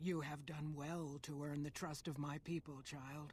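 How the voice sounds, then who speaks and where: A put-on character voice sits at a low-to-middle pitch with monotone, flat intonation. The pace is moderate, and clear background noise is present. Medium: video game. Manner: solemn, formal.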